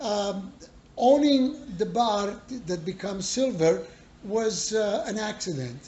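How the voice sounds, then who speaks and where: A man's high-pitched voice in an Italian accent, very slow, with long, frequent pauses, lively intonation and audible room echo. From Italy. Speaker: bar owner. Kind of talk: interview. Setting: in a bar.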